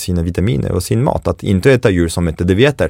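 Over a silent background in a very clean recording, a man speaks with a French accent in a dark, mellow tone at a very deep, low pitch. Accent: French accent in Swedish. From France, Paris. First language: French (speaking Swedish). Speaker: chef and baker. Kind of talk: casual interview. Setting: studio. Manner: animated.

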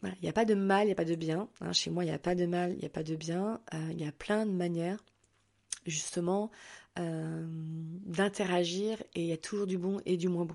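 At a moderate pace, a woman with a fairly low pitch speaks with fairly even intonation over a quiet background. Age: 40s. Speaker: holistic therapist and podcaster. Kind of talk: casual solo monologue. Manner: hesitant, many filler words.

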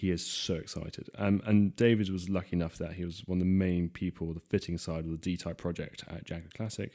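A man with an English accent speaks at a fairly quick pace in a very deep, low voice with a dark, mellow tone and flat, monotone intonation, on a very clean recording with a silent background. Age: 20s. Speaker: classic car restorer. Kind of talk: casual chat.

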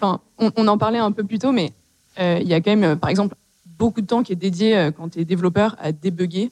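A woman talks at a moderate pace with a medium pitch and ordinary pitch variation. The sound is dry and close, with no echo. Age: 20s. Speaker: startup CTO. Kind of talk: panel discussion. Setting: stage with audience.

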